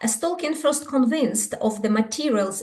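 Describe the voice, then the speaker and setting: Audible room echo around a woman speaking at a moderate pace, her pitch fairly high. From Ukraine. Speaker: scholar. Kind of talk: conference talk. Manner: halting.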